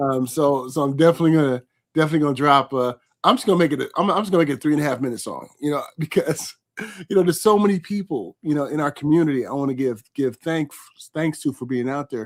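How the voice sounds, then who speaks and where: A man talks at a very fast pace on a very clean recording with a silent background and a dry, close sound with no echo. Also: fairly high pitch for a man, ordinary pitch variation. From California, US West Coast. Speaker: livestream host and interviewer. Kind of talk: casual live interview chat. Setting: live stream. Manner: repetitive, stammering restarts.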